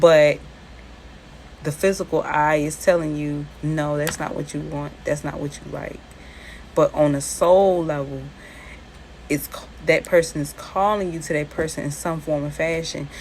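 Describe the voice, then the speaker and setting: Over noticeable background noise, a woman with a Charleston accent speaks at a very deep, low pitch in a monotone, flat way, fairly slowly, with long, frequent pauses and big swings in loudness. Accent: Charleston accent, similar to New Orleans. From US South, Charleston. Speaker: spiritual content creator. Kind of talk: casual talk about spirituality and personal story.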